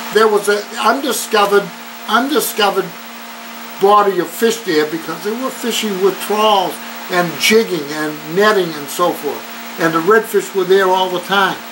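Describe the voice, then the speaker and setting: The man's voice sits high in pitch, with ordinary variation. He speaks at a fairly slow pace over light background noise. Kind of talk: interview answer. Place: office. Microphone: camera far.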